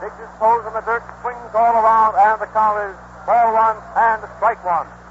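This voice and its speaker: A man with an American accent talks at a high pitch, his loudness swinging widely. Noticeable background noise runs underneath. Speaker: radio sports announcer. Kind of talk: live radio baseball play-by-play commentary. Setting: vintage 1930s radio broadcast recording from a stadium. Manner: excited, rapid-fire, enthusiastic.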